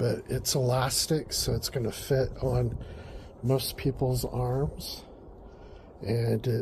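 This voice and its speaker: A man's medium-pitched voice with vocal fry and ordinary pitch variation. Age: 60s. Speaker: home gardening vlogger. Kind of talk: casual garden vlog. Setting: outdoors in garden. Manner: casual with many fillers.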